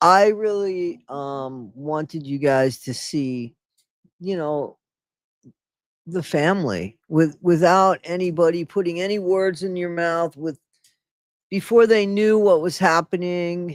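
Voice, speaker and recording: The intonation is lively at a fairly slow pace. Long, frequent pauses break up the speech. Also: woman, very clean recording, silent background. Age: 60s. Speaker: YouTuber commenting on videos. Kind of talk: live stream commentary. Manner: casual, profane.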